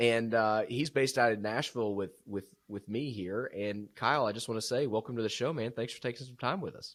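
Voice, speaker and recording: A man with a South Georgia accent at a fairly quick pace, with hardly any pauses. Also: medium pitch for a man, ordinary pitch variation, big swings in loudness. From US South, South Georgia. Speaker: podcast host. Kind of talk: casual interview chat.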